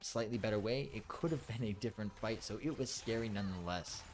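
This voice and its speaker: This is an unremarkable speaking voice, a man's, fairly low in pitch. He talks at a fairly quick pace. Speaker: esports caster. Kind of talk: video game commentary.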